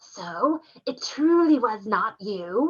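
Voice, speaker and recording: A hissing, put-on character voice, female-sounding and fairly high in pitch. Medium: read story. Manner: hissing, cackling.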